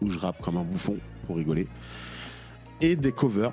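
A man is heard with faint music in the background. The sound is dry, with no echo. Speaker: comedian guest. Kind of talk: interview answer. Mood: playful, joking. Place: studio. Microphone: studio mic.

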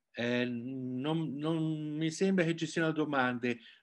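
Against a quiet background, a normal speaking voice moves at a fairly slow pace with ordinary pitch variation. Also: man. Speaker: event moderator. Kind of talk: moderating. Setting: video call. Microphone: video call.

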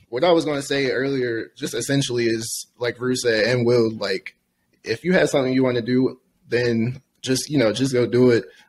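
The speech runs at a fairly quick pace with fairly even intonation, broken by long, frequent pauses. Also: man. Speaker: podcast co-host. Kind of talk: casual chat. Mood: relaxed, friendly. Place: home room. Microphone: studio mic.

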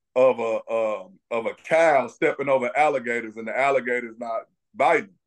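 This man has an unremarkable speaking voice, fairly high in pitch for a man. He talks at a fairly quick pace with lively intonation over a quiet background. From US Midwest. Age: 40s. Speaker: retired police investigator; interview guest. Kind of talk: interview. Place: office. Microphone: video call.

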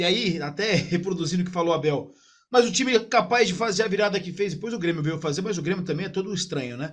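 Lively intonation marks this man's speech, heard over a quiet background. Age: 20s. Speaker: sports journalist. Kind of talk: casual football debate. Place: home room. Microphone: video call.

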